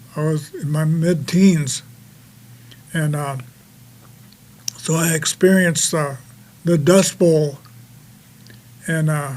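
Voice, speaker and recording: With an American accent, a man speaks at a very slow pace in a fairly high pitch, using fairly even intonation and long, frequent pauses. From US Midwest, Dakota reservation. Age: 80s+. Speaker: war veteran. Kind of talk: testimony. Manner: halting, many fillers.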